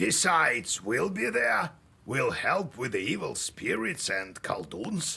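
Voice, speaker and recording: A man's put-on character voice at medium pitch, fairly slow, with very wide pitch swings. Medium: video game. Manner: chuckling, warm.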